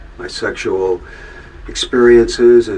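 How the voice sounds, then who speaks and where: Here a man talks. Noticeable background noise fills the space around his words. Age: 70s. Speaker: musician telling his life story. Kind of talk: testimony. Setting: recording booth. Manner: halting.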